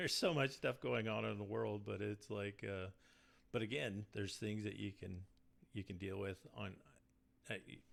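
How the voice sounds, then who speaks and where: With vocal fry and a fairly low pitch, a man speaks at a moderate pace, leaving long, frequent pauses. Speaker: band guitarist and backing vocalist. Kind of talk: casual interview chat. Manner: monotone.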